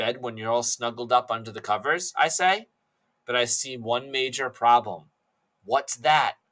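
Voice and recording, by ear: With ordinary pitch variation, someone is reading aloud in a natural voice while the background stays quiet.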